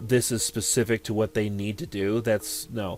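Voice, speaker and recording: A man speaks at a moderate pace in a fairly low pitch. Music plays in the background. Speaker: gaming youtuber. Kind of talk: let's play commentary. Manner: halting.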